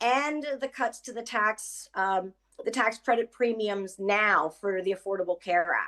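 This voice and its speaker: With a quiet background, a woman in an unremarkable speaking voice talks at a fairly slow pace with ordinary pitch variation. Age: 60s. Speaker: home care worker and union member. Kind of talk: personal testimony on an advocacy call. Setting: online mass call.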